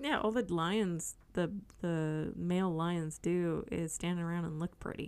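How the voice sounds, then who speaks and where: Using a normal speaking voice, a woman goes at a fairly slow pace, her pitch varying in an ordinary way. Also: fairly low pitch for a woman. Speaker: podcast host. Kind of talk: casual chat.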